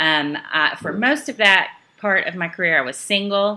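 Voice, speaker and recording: With a Southern US accent, a woman speaks at medium pitch and a moderate pace in a bright, sharp tone with lively intonation. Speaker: network marketing trainer. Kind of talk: training talk. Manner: casual, many filler ums.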